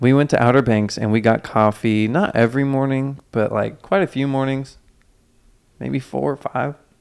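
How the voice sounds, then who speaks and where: Moderate in pace and medium in pitch, a man with an unremarkable speaking voice talks with ordinary pitch variation. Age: 20s. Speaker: podcast co-host. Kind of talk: casual chat.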